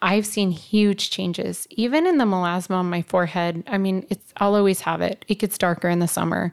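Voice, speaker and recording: At a fairly quick pace with hardly any pauses, a woman talks in an unremarkable speaking voice of medium pitch with ordinary pitch variation, the sound dry and close with no echo. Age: 40s. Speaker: aesthetics injector. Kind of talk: casual chat.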